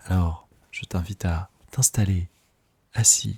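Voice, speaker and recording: Soft-spoken and somewhat breathy, the voice has a dark, mellow tone and fairly even intonation, with a dry, close sound and no echo. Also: man. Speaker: breathwork facilitator. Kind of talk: guided meditation. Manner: slow.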